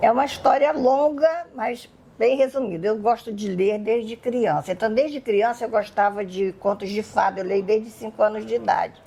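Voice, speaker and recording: A woman at a fairly high pitch and a moderate pace, with hardly any pauses and noticeable background noise. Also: ordinary pitch variation. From Brazil, Rio de Janeiro. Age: 70s. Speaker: Wiccan witch and magic teacher. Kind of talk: podcast interview.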